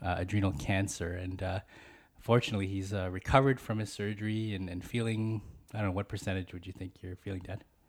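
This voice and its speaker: A man with a normal speaking voice talks at a fairly low pitch with fairly even intonation on a very clean recording with a silent background. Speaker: podcast host. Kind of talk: family interview; scripted intro. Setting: home studio.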